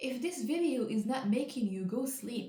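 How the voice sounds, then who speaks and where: With audible room echo, a woman with a non-native accent speaks in a dark, mellow tone. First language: not English. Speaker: educational video creator. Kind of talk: casual explainer while painting. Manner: casual, slightly halting.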